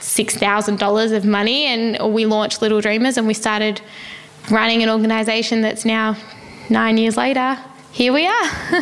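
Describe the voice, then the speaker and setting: A woman with an Australian accent, fairly high in pitch, at a moderate pace with fairly even intonation and very even loudness, over noticeable background noise. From Australia, Melbourne. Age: 20s. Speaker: non-profit founder. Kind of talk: interview. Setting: in person.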